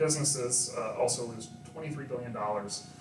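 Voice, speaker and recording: A man of medium pitch is heard with audible room echo and noticeable background noise. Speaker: data analyst. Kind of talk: presentation to live audience.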